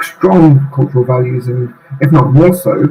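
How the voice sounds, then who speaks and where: Noticeable background noise sits behind a man with a British accent. His intonation is fairly even. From UK. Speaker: UN staff association president. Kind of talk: interview conversation. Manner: halting, many fillers.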